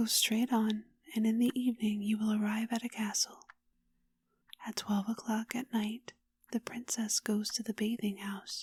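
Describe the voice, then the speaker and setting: Soft-spoken and somewhat breathy, the gentle voice stays monotone and flat, broken by long, frequent pauses, in a dry, close sound with no echo. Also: woman, fairly high pitch for a woman, moderate pace. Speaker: ASMR storyteller. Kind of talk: bedtime story reading. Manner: soft-spoken, gentle, calming.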